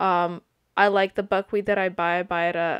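A woman's medium-paced speech comes through with little behind it but quiet. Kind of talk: tutorial. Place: kitchen.

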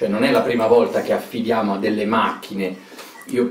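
A man speaks fairly quickly, and room echo is audible. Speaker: speaker. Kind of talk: interview answer. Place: home room. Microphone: camera far.

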